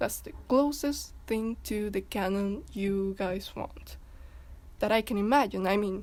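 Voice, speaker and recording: This woman has a non-native accent. She talks at a fairly slow pace. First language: not English. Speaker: fandom commentary youtuber. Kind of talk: casual video commentary. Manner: halting, many repetitions and fillers.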